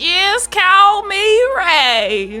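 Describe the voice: A woman does a put-on character voice over faint background music.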